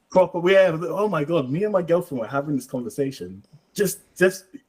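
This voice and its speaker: Talking at a fairly quick pace, a man's intonation stays lively. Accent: London. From East London, Hackney. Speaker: livestream participant. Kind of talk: casual chat. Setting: livestream.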